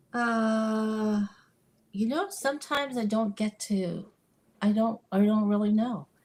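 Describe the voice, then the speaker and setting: Very slowly, a woman speaks with a fairly high, somewhat breathy voice and fairly even intonation. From Taiwan, moved to US at age 10. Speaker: missionary counselor. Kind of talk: interview. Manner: halting, many restarts.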